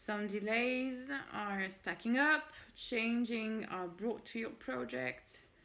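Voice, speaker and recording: Her intonation stays lively. The woman's pitch is fairly high. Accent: French. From France. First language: French. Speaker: tarot reader. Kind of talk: tarot reading, casual solo talk. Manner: switches between French and English.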